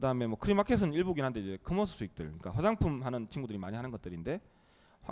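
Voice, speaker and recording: His pitch leaps very widely. The man talks very fast. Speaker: startup CEO. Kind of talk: interview.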